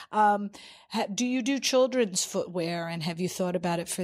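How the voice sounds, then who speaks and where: A woman with a fairly low voice and an American accent speaks at a fairly quick pace, in an ordinary speaking voice. The recording is very clean, with a silent background. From New York. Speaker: podcast host. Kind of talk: interview. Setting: studio.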